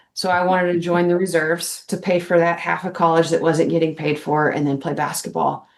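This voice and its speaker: A woman with an American accent speaks at a fairly quick pace and fairly low pitch, with monotone, flat intonation and hardly any pauses. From Texas, Dallas-Fort Worth area. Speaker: army veteran, educator and basketball coach. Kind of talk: podcast interview.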